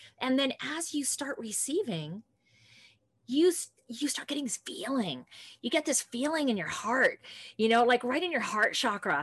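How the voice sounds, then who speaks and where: A woman, high in pitch, with very wide pitch swings, a moderate pace and long, frequent pauses. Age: 50s. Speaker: podcast host and health coach. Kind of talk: casual chat. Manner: animated.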